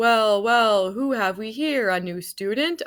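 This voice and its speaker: Booming in a put-on character voice, a woman speaks fairly slowly at a fairly high pitch with lively intonation. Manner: jovial, loud.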